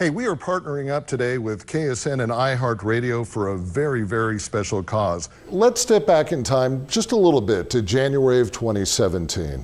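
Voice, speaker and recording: A man with an American accent speaks at a moderate pace with hardly any pauses. His medium-pitched voice swings very widely in pitch. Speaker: news reporter. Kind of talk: local TV feature hosting.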